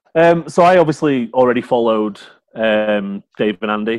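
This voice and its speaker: A man speaks with a Yorkshire accent. His pitch varies in an ordinary way. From Yorkshire, England. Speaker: fantasy football scout, guest. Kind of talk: casual chat.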